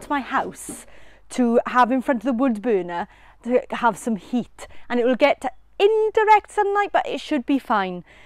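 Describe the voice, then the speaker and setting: With very wide pitch swings, a woman talks at a moderate pace in a dry sound with no echo. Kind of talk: casual gardening vlog chat. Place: garden.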